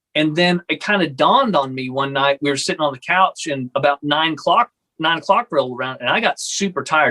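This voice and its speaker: Talking at a fairly quick pace with lively intonation, a man with a Texan accent has a bright, sharp tone in a dry, close sound with no echo. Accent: Texan American. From Texas. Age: 30s. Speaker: pastor. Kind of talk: casual chat.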